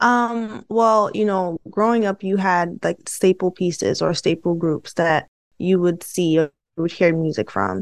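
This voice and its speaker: With an American accent, a woman speaks in an ordinary speaking voice at a fairly low pitch and a fairly slow pace, with ordinary pitch variation, a dry, close sound with no echo, and a quiet background. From Brooklyn, New York. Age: 30s. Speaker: organizational psychologist. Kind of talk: interview.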